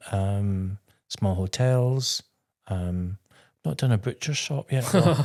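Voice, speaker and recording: Very slow delivery in a west of Scotland accent, with long, frequent pauses, lively intonation and a very clean recording over a silent background. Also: man, fairly low pitch for a man. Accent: Scottish (west of Scotland). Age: 60s. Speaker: interior designer and TV presenter. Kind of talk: interview.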